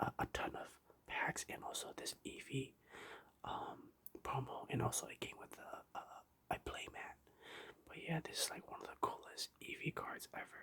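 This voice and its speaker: Someone whispers with long, frequent pauses. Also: moderate pace. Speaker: ASMR youtuber. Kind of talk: ASMR show and tell. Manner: whispering; halting, many fillers.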